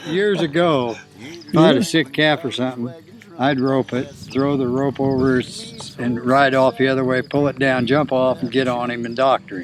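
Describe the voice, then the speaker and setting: With music playing in the background, a man speaks with ordinary pitch variation. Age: 70s. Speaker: cowboy. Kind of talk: interview answer.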